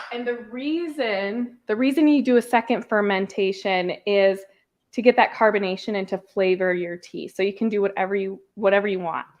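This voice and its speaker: Talking with an American accent, a woman keeps a medium pitch, a moderate pace and ordinary pitch variation. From Minnesota, upper Midwest US. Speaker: podcast host. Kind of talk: casual livestream tutorial. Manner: casual, filler-heavy.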